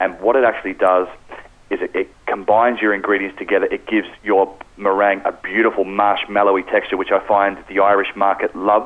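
A man with an Australian accent talks at a fairly quick pace. His fairly low voice has monotone, flat intonation. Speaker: pastry and bakery specialist. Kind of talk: radio interview.

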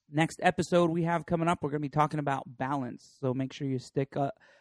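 In a plain, everyday voice, a man with a fairly high pitch and an American accent talks at a fairly quick pace with fairly even intonation, the sound dry and close with no echo. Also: quiet background. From northern US. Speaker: podcast host. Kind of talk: casual chat. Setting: recording at a home.

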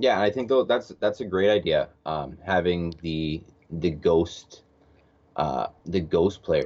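A man talks very slowly with a very deep, low pitch. His intonation is lively. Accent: Canadian. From Canada, Alberta (Edmonton). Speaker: schoolteacher. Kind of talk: casual chat.

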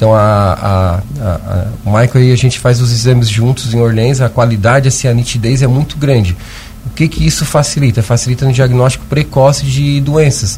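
Medium-pitched male voice at a moderate pace, with ordinary pitch variation, very even loudness and noticeable background noise. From Lauro Müller, Santa Catarina, southern Brazil. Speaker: surgeon and endoscopist. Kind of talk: radio interview. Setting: radio studio.

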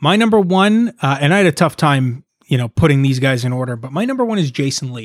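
Very fast speech from a man, fairly high in pitch. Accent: Canadian. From Canada, Toronto area. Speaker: musician. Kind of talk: casual chat.

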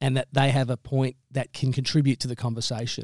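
This man has an Australian accent and a medium pitch. His delivery is monotone and flat, with a dry, close sound and no echo. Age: young. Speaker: talk radio host. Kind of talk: interview.

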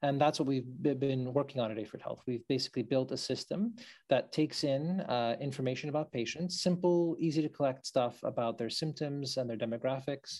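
A man with a plain, everyday voice speaks at a fairly quick pace, fairly high in pitch, with ordinary pitch variation and hardly any pauses. The recording is very clean, with a silent background. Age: young. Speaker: doctor and health tech startup co-founder. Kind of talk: interview.

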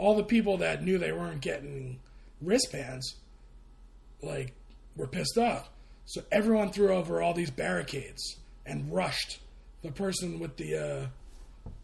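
The speech moves at a moderate pace. Long, frequent pauses interrupt it. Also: man. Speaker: podcast co-host. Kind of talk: casual chat.

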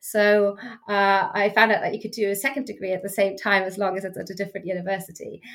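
A woman's medium-pitched, fairly bright voice at a fast pace, with little pitch movement.

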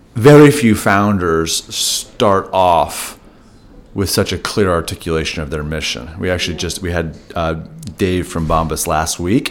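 Speaking fairly slowly, a man uses lively intonation in a very deep, low voice. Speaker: podcast host. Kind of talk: interview conversation.

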